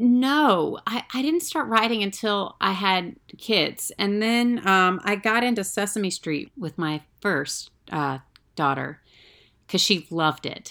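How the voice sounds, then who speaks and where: A woman speaks very slowly with an American accent, her medium-pitched voice bright and sharp in tone. Her pitch swings very widely, and the recording is very clean with a silent background. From US South. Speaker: actress and writer. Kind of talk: casual chat.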